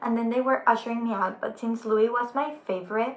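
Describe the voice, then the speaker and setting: A woman with a Spanish accent at a fairly quick pace, over noticeable background noise. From Mexico. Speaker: YouTuber. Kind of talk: storytime vlog. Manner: animated.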